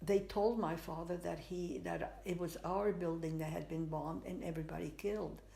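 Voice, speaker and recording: Speaking at a moderate pace with hardly any pauses, a woman uses a fairly low pitch, fairly even intonation, vocal fry and a dark, mellow tone, with audible room echo around her. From Spain. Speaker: artist. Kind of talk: interview, life story. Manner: halting, many fillers.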